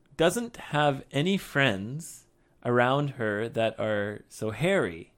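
A man with a North American accent speaks very slowly at a fairly high pitch, his pitch swinging very widely, on a very clean recording with a silent background. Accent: generic North American. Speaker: English teacher podcast host. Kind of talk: casual chat. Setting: studio.

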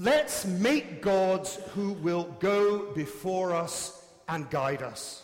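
Over noticeable background noise, a man with a high pitch speaks at a very slow pace with lively intonation. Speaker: preacher. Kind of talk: sermon. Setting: church.

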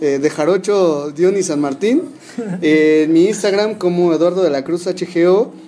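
Noticeable background noise sits behind a man's voice. His pitch is high, with ordinary pitch variation. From Mexico, Hidalgo. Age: 20s. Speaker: youth politician, political scientist. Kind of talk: casual interview.

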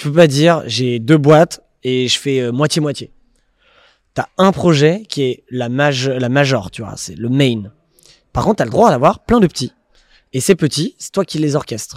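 Fairly high-pitched man at a fairly slow pace, with lively intonation, big swings in loudness and long, frequent pauses. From Paris region, France. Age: 30s. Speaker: entrepreneur. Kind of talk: casual interview.

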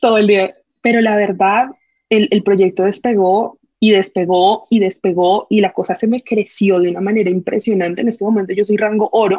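Keeping very even loudness, a woman talks at a moderate pace and a medium pitch. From Colombia. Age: 20s. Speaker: social media creator and mother. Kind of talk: casual chat. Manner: animated.

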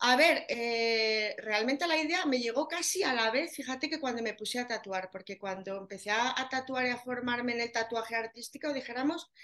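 A woman speaks with a high pitch at a moderate pace. Her pitch variation is ordinary. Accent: Aragonese. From Spain, Zaragoza (Aragon). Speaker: tattoo artist specialising in areola reconstruction. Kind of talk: casual interview.

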